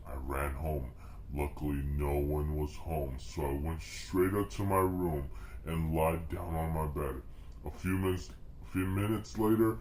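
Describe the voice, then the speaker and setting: A man uses a put-on character voice with a very deep, low pitch. Background noise is clearly audible. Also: moderate pace. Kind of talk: comic overacting. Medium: read story. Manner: exaggerated, melodramatic.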